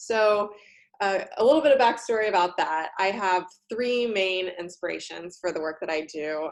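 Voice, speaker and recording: This is a plain, everyday voice: a woman with an American accent, medium pitch and ordinary pitch variation, talking at a moderate pace over a quiet background. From United States. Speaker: career coach and college instructor. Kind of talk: talk to university students.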